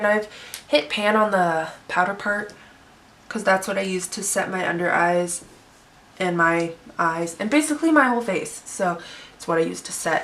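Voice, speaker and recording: Through noticeable background noise, a woman speaks with lively intonation and long, frequent pauses. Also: medium pitch for a woman, moderate pace, big swings in loudness. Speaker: beauty YouTuber. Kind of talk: makeup tutorial chat. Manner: chatty, casual.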